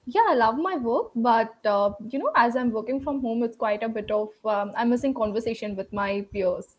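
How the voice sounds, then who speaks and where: A woman talks with an Indian accent and fairly high pitch. She keeps a moderate pace with ordinary pitch variation and hardly any pauses. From South India, Tamil Nadu. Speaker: English learner, project manager. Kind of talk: casual conversation lesson. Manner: hesitant, many fillers.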